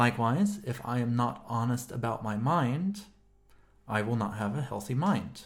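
This man's voice is somewhat breathy, with very wide swings in pitch. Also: medium pitch for a man, moderate pace. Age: 30s. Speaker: podcast co-host, philosopher. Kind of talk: casual philosophical discussion.

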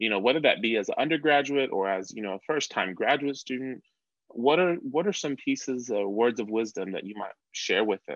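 Here is an ordinary speaking voice: a man at medium pitch, with lively intonation and a fairly quick pace. The background is quiet. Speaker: podcast host. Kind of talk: interview podcast conversation.

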